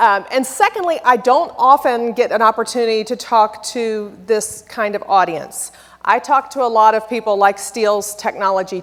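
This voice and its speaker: Speaking in a Texan accent, a woman uses ordinary pitch variation. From Texas. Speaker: software company presenter. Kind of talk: conference presentation. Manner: animated; loud.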